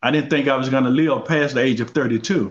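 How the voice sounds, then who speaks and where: Using a normal speaking voice, a man at a medium pitch talks at a moderate pace with fairly even intonation. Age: 60s. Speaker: guest on mental health talk show. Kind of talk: interview conversation.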